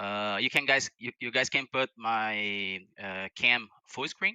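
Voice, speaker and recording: A man with a non-native accent and fairly low pitch, at a very slow pace, with a quiet background and a dry sound with no echo. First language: not English. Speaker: viewer calling in to demo a script; guest. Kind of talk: casual tech demo. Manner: halting, many repeated words. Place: home room. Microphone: headset.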